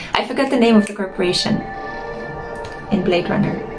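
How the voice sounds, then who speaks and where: A woman talks at medium pitch. Noticeable background noise is present. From Romania, Bucharest. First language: Romanian. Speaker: gaming streamer. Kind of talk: casual gameplay commentary. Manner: slightly slurred.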